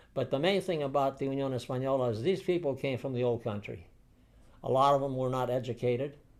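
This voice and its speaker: A medium-pitched man at a very fast pace, with ordinary pitch variation. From San Francisco, US. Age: 80s+. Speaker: war veteran. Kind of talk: interview. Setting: seated interview. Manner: halting.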